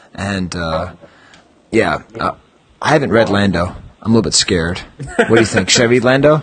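A man with a fairly low pitch talks at a moderate pace, his fairly bright tone carrying a slightly husky edge and lively intonation.

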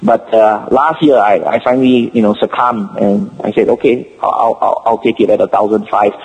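A man with a Singaporean accent at a moderate pace, very even loudness and hardly any pauses, over noticeable background noise. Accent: Singapore English. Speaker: collector. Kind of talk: casual chat. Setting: phone call. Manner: halting.

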